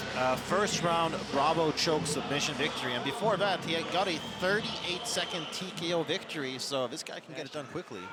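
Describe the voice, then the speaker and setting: Speech comes at a fairly quick pace with hardly any pauses and ordinary pitch variation. Audible room echo and noticeable background noise fill the recording. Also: man, fairly high pitch for a man. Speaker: MMA color commentator. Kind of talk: live commentary.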